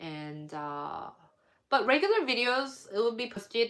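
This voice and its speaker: A woman mumbles at a very slow pace. Her pitch swings very widely. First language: not English. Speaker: baking YouTuber. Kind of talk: casual live stream chat. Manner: hesitant, many fillers; mumbling.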